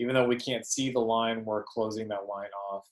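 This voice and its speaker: A man with a fairly low voice. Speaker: art teacher. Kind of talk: lecture. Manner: fast; hesitant, many fillers.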